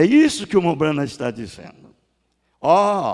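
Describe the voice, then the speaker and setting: The speaker is a man whose voice is fairly high in pitch. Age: 60s. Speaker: pastor. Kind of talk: sermon. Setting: church.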